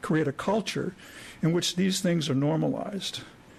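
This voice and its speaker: This man has a high pitch with ordinary pitch variation. He speaks at a moderate pace. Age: 60s. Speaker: retired psychologist, citizen commenter. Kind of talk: public comment speech. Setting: county commissioners court meeting.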